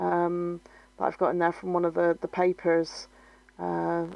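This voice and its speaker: Fairly slow speech with a Bristolian accent, a dry, close sound with no echo and a quiet background. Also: woman. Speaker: scrapbooking video creator. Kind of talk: crafting tutorial narration. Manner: hesitant, many fillers.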